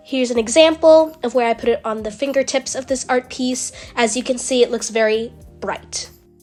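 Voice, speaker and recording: Music plays in the background as a woman with a high-pitched voice talks at a fairly quick pace. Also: fairly even intonation. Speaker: digital artist. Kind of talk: tutorial voiceover.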